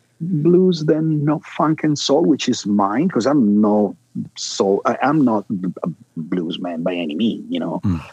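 With a dark, mellow tone, a man speaks at a fairly high pitch and swings it very widely. The sound is dry and close, with no echo. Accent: Italian. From Milan, Italy. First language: Italian. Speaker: bassist and record producer. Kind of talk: interview.

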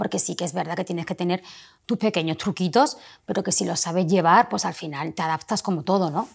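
A woman speaks in a plain, everyday voice, fairly low in pitch with lively intonation. The recording is very clean, with a silent background. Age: 40s. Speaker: pharmacist and entrepreneur. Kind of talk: casual interview.

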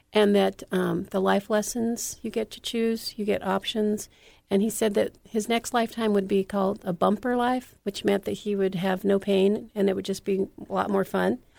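Recorded very cleanly with a silent background, a woman with an American accent talks at a moderate pace in a medium pitch with monotone, flat intonation. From California. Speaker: author and TV producer. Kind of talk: interview. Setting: radio show.

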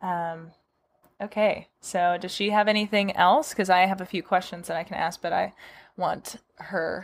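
With an unremarkable speaking voice, a woman talks at a moderate pace using fairly even intonation. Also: medium pitch for a woman. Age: 20s. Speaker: podcast host, horse owner. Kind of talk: casual interview.

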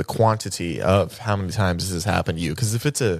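Unforced voice, reading.

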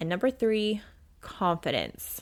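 At a moderate pace and in an animated tone, the speaker comes through in a very clean recording with a silent background. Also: woman. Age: 30s. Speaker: self-help podcast host and coach. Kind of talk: solo motivational monologue.

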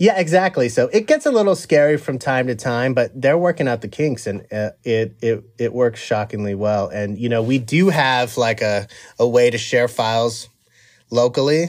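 Delivered at a moderate pace with lively intonation, a plain, everyday voice comes through on a very clean recording with a silent background. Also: man, medium pitch for a man. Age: 40s. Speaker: film and TV composer. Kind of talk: casual interview.

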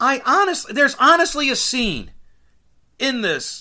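On a very clean recording with a silent background, a man projects a raised voice with a bright, sharp tone. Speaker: podcast host. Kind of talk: solo podcast monologue, casual. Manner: casual, rambling, self-aware.

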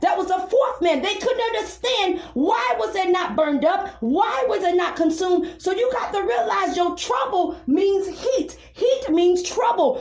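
A woman talks at an extremely high pitch with very wide pitch swings, fairly slowly and with hardly any pauses. Noticeable noise sits in the background. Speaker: preacher leading a live prayer and Bible teaching broadcast. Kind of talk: sermon with prayer. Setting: live online radio and podcast.

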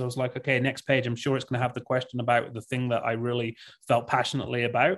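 Against a quiet background, a man with an English accent speaks with fairly even intonation. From England. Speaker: tech company CEO. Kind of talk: interview. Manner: halting, many repeated words.

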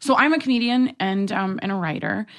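Against a quiet background, a woman with an American accent and an unremarkable speaking voice talks with ordinary pitch variation. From New York City. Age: 20s. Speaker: comedian and writer. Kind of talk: casual chat.

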